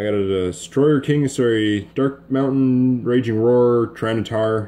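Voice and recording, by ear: A man talks at a medium pitch with ordinary pitch variation and a dark, mellow tone. His pace is fairly slow.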